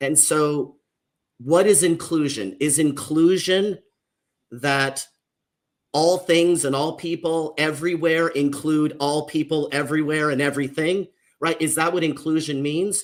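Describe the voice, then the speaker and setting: A man with an American accent speaks at a fairly slow pace and a fairly high pitch. His intonation is fairly even, and it is an unremarkable speaking voice. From US, Mexican American family. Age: 50s. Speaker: social worker and author. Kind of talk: panel discussion. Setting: livestream panel.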